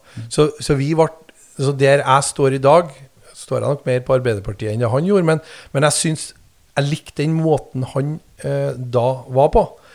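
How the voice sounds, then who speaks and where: This man's fairly high voice shows ordinary pitch variation, broken by long, frequent pauses. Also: moderate pace. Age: 40s. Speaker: mayor and politician. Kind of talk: casual interview. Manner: halting, many fillers and repetitions.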